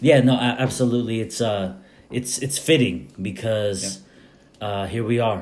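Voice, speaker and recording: A man's normal speaking voice, medium in pitch, with fairly even intonation at a moderate pace. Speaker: podcast host. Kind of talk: podcast interview, casual conversation.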